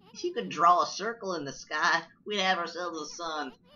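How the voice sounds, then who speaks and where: A put-on character voice that sounds female, delivered at a moderate pace. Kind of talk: streamer reading game dialogue aloud. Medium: game stream. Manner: chatty, brash.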